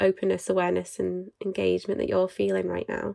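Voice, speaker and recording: A woman talks at a very fast pace, her voice dry and close with no echo. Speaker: behaviour analyst and podcast host. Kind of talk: casual podcast chat.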